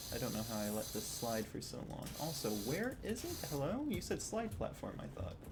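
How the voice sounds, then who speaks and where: Audible room echo surrounds speech that runs on with hardly any pauses. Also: man, moderate pace. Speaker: vtuber streamer. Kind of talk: casual gaming livestream. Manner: quiet, not loud. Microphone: old microphone, stream audio too quiet.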